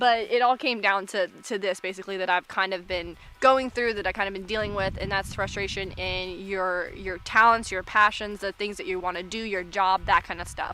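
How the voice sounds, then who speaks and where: A loud woman with an American accent, medium pitch and a bright, sharp tone, at a moderate pace with hardly any pauses. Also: fairly even intonation. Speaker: vlogger. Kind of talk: casual vlog monologue. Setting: outdoors in the woods.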